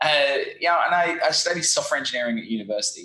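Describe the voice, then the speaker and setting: In an Australian accent, a man speaks with a bright, sharp tone. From Australia, Brisbane. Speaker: SEO agency founder. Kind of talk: interview. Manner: animated.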